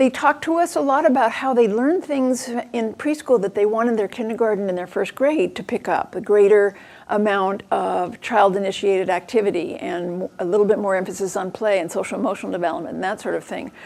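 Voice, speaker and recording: Here is a plain, everyday voice moving at a fairly quick pace, with lively intonation and hardly any pauses. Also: woman, medium pitch for a woman. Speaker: education researcher giving a talk. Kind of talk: lecture. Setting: venue with audience.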